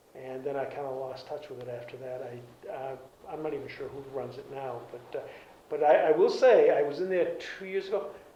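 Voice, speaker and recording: Noticeable background noise and audible room echo behind a fairly quick-paced man with an American accent. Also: big swings in loudness. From Cape Cod, Massachusetts. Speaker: retired garage and oil business owner. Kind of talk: oral history interview. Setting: library. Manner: halting.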